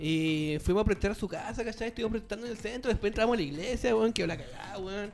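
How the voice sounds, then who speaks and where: Through noticeable background noise, a man with a high pitch talks at a very fast pace with hardly any pauses and ordinary pitch variation. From Chile, Magallanes region. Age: 30s. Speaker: music producer and sound technician. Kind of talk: casual chat.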